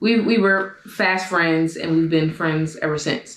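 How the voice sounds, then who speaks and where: A woman talks at a fairly slow pace. Her pitch sits fairly low. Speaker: YouTuber. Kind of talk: casual chat. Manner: animated.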